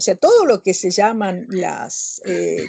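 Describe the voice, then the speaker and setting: Her voice, a woman's, has a dark, mellow tone. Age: 60s. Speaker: author and professor. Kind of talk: interview answers. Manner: conversational, with fillers and self-corrections.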